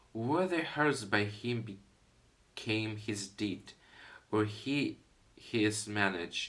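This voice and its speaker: A man with a non-native accent, a fairly low pitch, a bright, sharp tone, ordinary pitch variation and a very slow pace. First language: not English (non-native speaker). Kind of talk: poetry reading (Shakespeare), hesitant. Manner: halting, stumbling over words and retrying.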